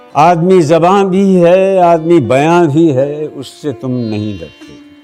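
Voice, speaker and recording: A man talks with lively intonation. Background music can be heard. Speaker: poetry reciter. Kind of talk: poetry reading. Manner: emotive.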